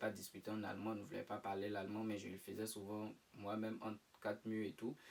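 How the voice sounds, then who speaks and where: The speaker is a man. His voice sits at a medium pitch. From Ivory Coast. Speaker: student living abroad. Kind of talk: interview. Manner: hesitant.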